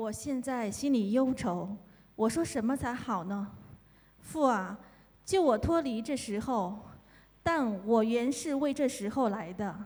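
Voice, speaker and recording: A woman with a Chinese accent speaks at a fairly high pitch and a fairly slow pace, her intonation lively, with long, frequent pauses. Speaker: scripture reader. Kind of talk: reading aloud.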